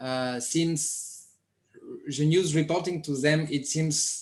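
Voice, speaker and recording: In a French accent, the speech moves at a very slow pace with fairly even intonation and audible room echo. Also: man. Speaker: media project presenter. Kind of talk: online conference presentation. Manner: halting.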